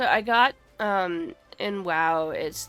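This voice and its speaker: A woman speaks with music in the background. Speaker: gamer streamer. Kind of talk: casual live-stream talk while gaming.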